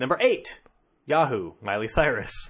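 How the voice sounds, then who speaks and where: A man speaking against a quiet background. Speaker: podcast co-host. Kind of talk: casual chat, comedic banter.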